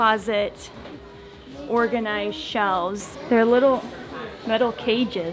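Clear music plays in the background as a woman speaks. She goes at a fairly slow pace with fairly even intonation. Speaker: family vlogger mother. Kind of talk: casual vlog chat. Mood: cheerful, admiring. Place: shop. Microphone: phone near.

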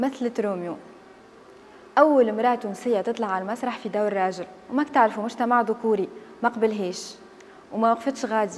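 Over noticeable background noise, a woman with a fairly high voice speaks at a moderate pace, using ordinary pitch variation and long, frequent pauses. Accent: Tunisian. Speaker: storytelling video host. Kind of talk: scripted narration. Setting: on location in historic house.

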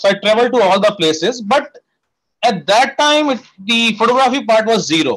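A fairly quick pace, ordinary pitch variation and a quiet background. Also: man. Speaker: guest. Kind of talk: interview answer. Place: home room. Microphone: earbuds.

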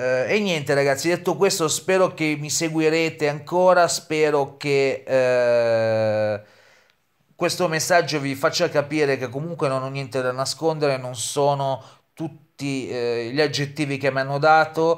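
Over a quiet background, a man with a fairly high pitch talks at a fairly slow pace with ordinary pitch variation. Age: 30s. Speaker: YouTuber. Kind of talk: vlog monologue. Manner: halting, many fillers. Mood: defensive, aggrieved.

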